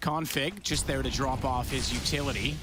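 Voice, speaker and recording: Music plays in the background, with audible room echo. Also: man. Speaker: esports commentator. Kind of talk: live commentary. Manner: fast.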